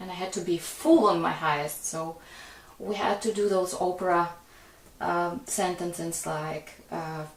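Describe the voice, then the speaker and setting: A woman's fairly low voice at a fairly slow pace with fairly even intonation, plus audible room echo and noticeable background noise. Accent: non-native. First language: not English. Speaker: singer-songwriter and pianist. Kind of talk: casual chat.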